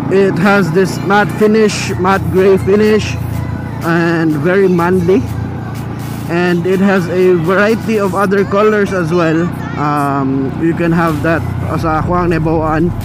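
Music plays in the background. The speech moves at a fairly slow pace, and the sound is dry with no echo. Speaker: motovlogger rider. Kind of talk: casual vlog chat, product review. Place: motorbike.

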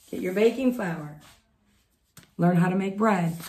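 In an American accent, a woman talks at a moderate pace with a medium pitch and ordinary pitch variation. Her tone is dark and mellow, and somewhat breathy. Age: 50s. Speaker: homesteading vlogger. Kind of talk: casual chat; tutorial. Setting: home, recorded at night.

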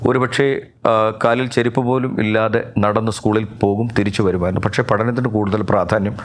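Against noticeable background noise, a man talks at medium pitch with fairly even intonation. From Kerala, Pathanamthitta. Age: 50s. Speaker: pastor. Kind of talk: testimony.

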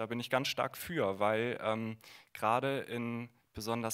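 With a quiet background, a man speaks at a very slow pace. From northern Germany, Bremen; Germany. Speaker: former conversion therapy participant; guest. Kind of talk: panel discussion. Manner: hesitant, many fillers. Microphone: handheld.

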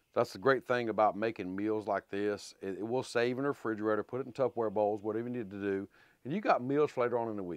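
Over a quiet background, a man rushes along at a very fast pace in a dry sound with no echo. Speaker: home cooking channel host. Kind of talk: cooking tutorial chat. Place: garage.

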